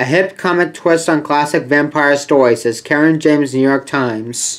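A man's voice at a moderate pace, fairly even intonation, with light background noise. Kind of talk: collection showcase commentary. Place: home room. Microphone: webcam.

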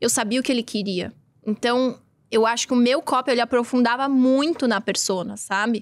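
A woman with a São Paulo accent speaks at a high pitch and moderate pace, her intonation fairly even and her loudness very even. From Brazil, São Paulo. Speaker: podcast host. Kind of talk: casual chat. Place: studio. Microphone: studio mic.

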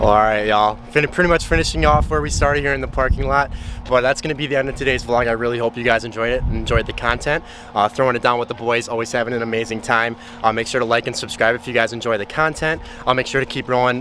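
Over light background noise, a man talks at a very fast pace with ordinary pitch variation and a dry sound with no echo. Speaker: fitness vlogger. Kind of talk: casual vlog chat. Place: street. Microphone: phone near.

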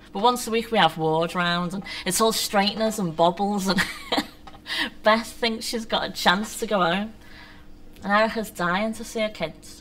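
At a moderate pace, a woman speaks with ordinary pitch variation and long, frequent pauses. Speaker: poet. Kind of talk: poetry reading. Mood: wry, bitter humour. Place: stage.

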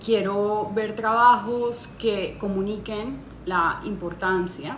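At a very slow pace, a woman with a fairly high pitch speaks with fairly even intonation amid audible room echo and light background noise. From Colombia. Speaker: interdisciplinary artist and conceptual photographer. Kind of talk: juror's statement to camera. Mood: warm, earnest. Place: home room. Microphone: phone near.

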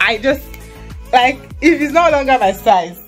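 A woman speaks over faint music in the background. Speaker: student vlogger. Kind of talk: casual vlog chat. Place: home room. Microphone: phone near.

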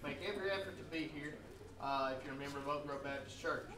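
A man talks at a very fast clip with fairly even intonation over noticeable background noise. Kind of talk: church announcements to a congregation. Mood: warm, festive Easter greeting. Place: church.

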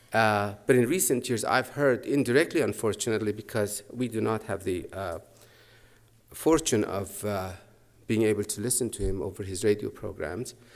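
A man speaks with a fairly low voice at a moderate pace. The background is quiet. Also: ordinary pitch variation. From Iran, Mashhad; Iran. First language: Persian. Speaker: professor of comparative literature. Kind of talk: lecture. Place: hall. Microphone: podium.

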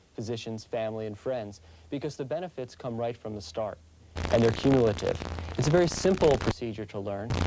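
Against noticeable background noise, a man talks at a very fast pace with ordinary pitch variation in a dry sound with no echo. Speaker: family physician. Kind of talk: interview answer. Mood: calm, assured, promotional. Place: office. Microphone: lapel.

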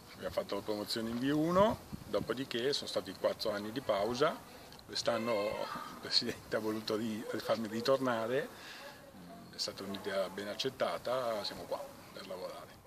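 At a moderate pace, a man speaks with long, frequent pauses over noticeable background noise. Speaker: volleyball club fitness trainer. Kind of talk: interview answer. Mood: relaxed, smiling. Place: garden.

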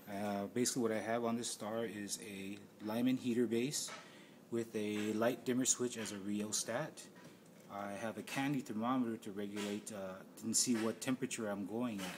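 Fairly even intonation and a moderate pace come through over noticeable background noise. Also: man, fairly low pitch for a man. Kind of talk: tutorial. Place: workshop. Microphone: phone near.

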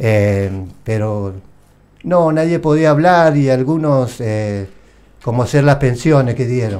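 Speaking at a very slow pace with long, frequent pauses, the voice has lively intonation and a Rioplatense accent. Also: man, medium pitch for a man. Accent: Argentine Spanish (rioplatense). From Argentina, Santa Fe. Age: 60s. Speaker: war veteran. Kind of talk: interview testimony. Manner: halting. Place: studio. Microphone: studio mic.

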